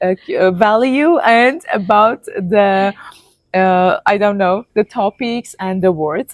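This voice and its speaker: A woman with a non-native accent speaks very slowly at a medium pitch, her intonation lively and the sound dry and close with no echo. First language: not English. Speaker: health content creator and author. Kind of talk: casual chat. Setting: in person, sitting together. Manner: halting, many fillers.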